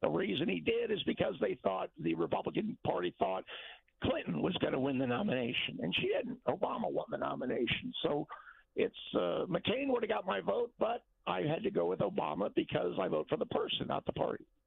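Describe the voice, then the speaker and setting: Delivered at a fairly quick pace, a man's voice holds a very even loudness. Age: 60s. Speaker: caller. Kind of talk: call-in opinion. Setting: phone call.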